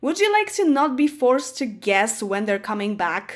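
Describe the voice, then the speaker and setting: At a moderate pace, a woman with a Polish accent speaks at a high pitch. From Poland. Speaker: gaming YouTuber. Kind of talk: casual talk to camera.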